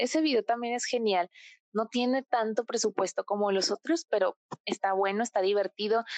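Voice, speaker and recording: In a quiet background with a dry, close sound and no echo, a woman speaks at a moderate pace with a fairly high pitch and ordinary pitch variation. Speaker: podcast guest, K-pop fan. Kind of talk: casual chat. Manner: animated.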